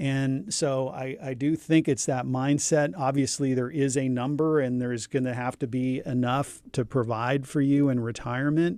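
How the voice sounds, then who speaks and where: An ordinary speaking voice from a man: moderate pace, medium pitch, ordinary pitch variation. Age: 50s. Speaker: divorce attorney. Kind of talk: casual chat.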